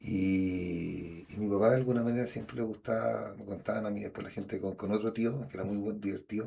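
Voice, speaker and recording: A man speaks with a Chilean accent at a fairly quick pace. His fairly low voice has a dark, mellow tone and ordinary pitch variation. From Chile, Santiago. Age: 50s. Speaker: schoolteacher, actor and storyteller. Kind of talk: interview. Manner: halting, with repetitions.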